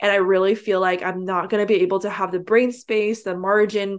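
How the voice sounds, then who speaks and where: At a fairly quick pace, a woman talks in a medium pitch with monotone, flat intonation. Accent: West Coast. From San Francisco Bay Area, US. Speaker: online entrepreneur and coach. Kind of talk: interview.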